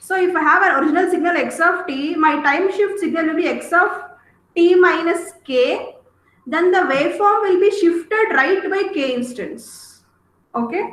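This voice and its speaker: Audible room echo surrounds a woman's extremely high pitch. Her pitch variation is ordinary. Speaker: teacher. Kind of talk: lecture. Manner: slow.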